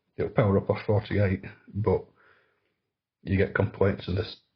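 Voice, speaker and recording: Somewhat breathy and monotone, with flat intonation, a man speaks at a fairly quick pace in a fairly low pitch. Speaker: electronics repair youtuber. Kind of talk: tutorial.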